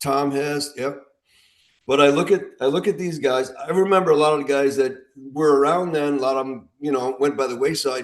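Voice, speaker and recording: Talking at a fairly quick pace, a man uses a plain, everyday voice with fairly high pitch and fairly even intonation. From US Midwest, Illinois. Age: 60s. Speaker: veteran armwrestler. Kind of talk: casual podcast chat.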